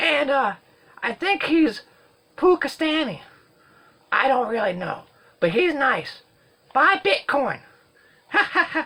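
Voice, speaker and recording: A put-on character voice, high in pitch, at a fairly slow pace. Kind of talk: comedic movie review to camera. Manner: silly, rambling, jokey.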